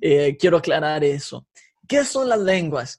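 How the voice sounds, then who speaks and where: A man speaks very slowly in a somewhat breathy voice. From Mexico, Guadalajara. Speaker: former worship leader. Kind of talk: casual interview. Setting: video call.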